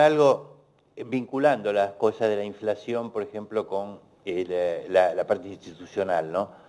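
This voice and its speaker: A man talks at a moderate pace in an ordinary speaking voice. His pitch shows ordinary variation, and his loudness swings widely. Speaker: economist. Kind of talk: panel Q&A.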